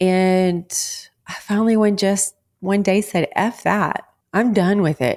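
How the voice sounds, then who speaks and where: A woman speaks very slowly in a Texan accent. The recording is very clean, with a silent background. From Texas. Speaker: wellness podcast host. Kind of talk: motivational monologue.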